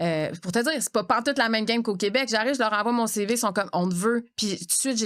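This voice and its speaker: Talking very fast with hardly any pauses, a woman uses a fairly high pitch and ordinary pitch variation. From Quebec. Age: 40s. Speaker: podcast host and actress. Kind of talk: casual chat. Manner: animated.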